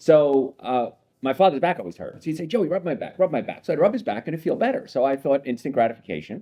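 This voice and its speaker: A man with an American accent talks at a very fast pace. His pitch is fairly high and his intonation lively. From New Jersey (Hoboken). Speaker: chiropractor. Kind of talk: interview conversation.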